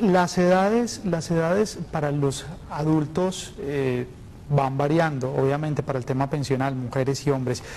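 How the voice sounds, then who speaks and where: A plain, everyday voice from a man, his pitch fairly high and varying in an ordinary way. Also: fairly slow pace. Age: 20s. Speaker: TV magazine host. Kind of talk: live TV consultation show.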